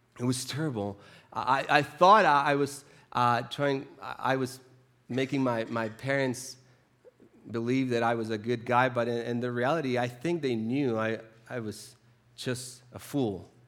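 A man at a medium pitch, fairly even in intonation, with audible room echo. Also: fairly slow pace. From Chile. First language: Spanish. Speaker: preacher. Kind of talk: sermon. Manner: halting, with frequent repetitions.

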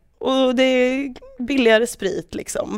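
This woman's voice is high-pitched, and her delivery is rather slow. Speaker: football podcast co-host. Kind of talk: casual chat.

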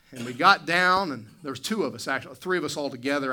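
Someone with an American accent speaks at a fairly quick pace. There is audible room echo. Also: man. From West Virginia. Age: 40s. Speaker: pastor. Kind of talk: sermon. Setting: church. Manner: hesitant with frequent fillers.

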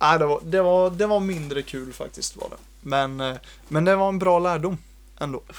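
A high male voice with ordinary rises and falls in pitch, delivered at a moderate pace. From Sweden, Jönköping. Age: 20s. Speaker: software developer. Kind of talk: casual chat.

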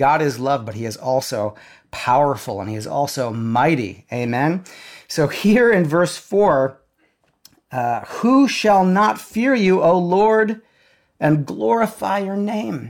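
A man speaks very slowly at a fairly high pitch. His pitch swings very widely. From South Dakota. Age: 40s. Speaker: pastor. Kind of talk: sermon.

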